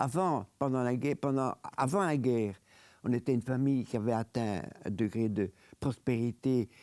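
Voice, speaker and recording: The voice has a dark, mellow tone and ordinary pitch variation at a moderate pace. The recording is very clean and dry, close with no echo and a silent background. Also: man. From Belgium, Brussels. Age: 90s. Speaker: Holocaust survivor and lawyer. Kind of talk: interview testimony.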